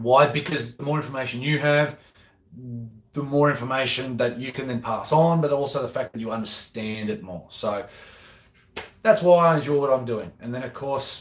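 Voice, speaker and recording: A man with an Australian accent delivers his words at a moderate pace. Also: medium pitch for a man, ordinary pitch variation, big swings in loudness. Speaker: golf professional and video host. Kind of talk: live Q&A chat. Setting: at home. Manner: rambling, repetitive.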